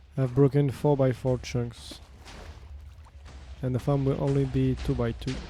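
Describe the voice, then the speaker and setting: A man speaks with a non-native accent. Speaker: gaming streamer. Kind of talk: live stream chat while playing. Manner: casual, chatty.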